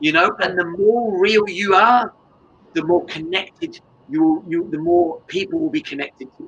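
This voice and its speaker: A man with an English accent and a high pitch speaks at a moderate pace, with ordinary pitch variation and big swings in loudness. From England. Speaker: business coach and martial artist. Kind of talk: interview. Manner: animated.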